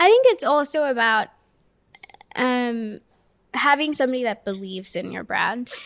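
A high-pitched woman's voice with lively intonation and long, frequent pauses. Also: moderate pace, big swings in loudness. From Kenya. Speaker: content creator and marketing manager. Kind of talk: casual interview chat. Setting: studio video podcast.

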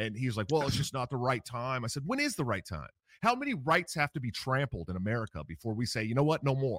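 In a dry, close sound with no echo, a man with an ordinary speaking voice uses a medium pitch and lively intonation. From San Francisco Bay Area, US. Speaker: political candidate, military veteran. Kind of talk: interview conversation.

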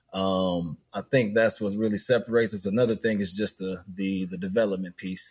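A man with a fairly low pitch talks at a fairly quick pace with hardly any pauses, in a normal speaking voice with fairly even intonation. The recording is very clean, with a silent background. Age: 30s. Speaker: youth basketball program director. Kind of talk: interview.

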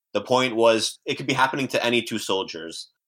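The speaker has a Canadian accent and a bright, sharp tone at a fairly quick pace. The recording is very clean with a silent background. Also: man. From Canada (Windsor, Ontario). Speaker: PhD student in biochemistry. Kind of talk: casual chat.

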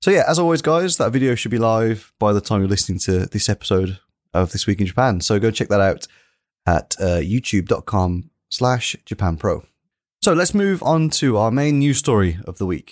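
The man's voice sits at a medium pitch but moves through very wide pitch swings. The recording is very clean with a silent background and a dry, close sound with no echo. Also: moderate pace. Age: middle-aged. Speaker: podcast host. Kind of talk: casual chat.

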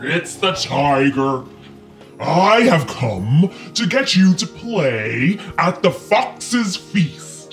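A very slow, middle-pitched put-on character voice over clear background music. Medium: read story. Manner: blustering and threatening, then pleading and gullible; impatient.

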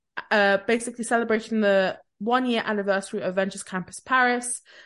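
Against a quiet background, a woman with a plain, everyday voice talks at a medium pitch with fairly even intonation. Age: 20s. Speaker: podcast co-host. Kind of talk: casual chat.

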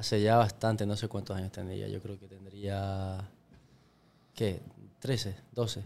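Fairly low in pitch, a man talks at a fairly slow pace in a monotone, flat intonation, with long, frequent pauses and big swings in loudness. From Ecuador. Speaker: podcast guest. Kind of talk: casual chat.

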